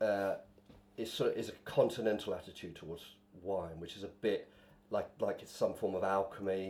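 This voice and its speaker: A man at a moderate pace with a southeast English accent. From southeast England, Bishop's Stortford (Essex/Hertfordshire border). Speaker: stand-up comedian. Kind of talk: casual chat. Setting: wine bar.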